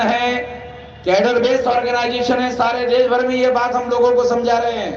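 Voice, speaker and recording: A man with a high pitch speaks amid audible room echo and noticeable background noise. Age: 60s. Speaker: activist leader. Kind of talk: political speech. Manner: loud.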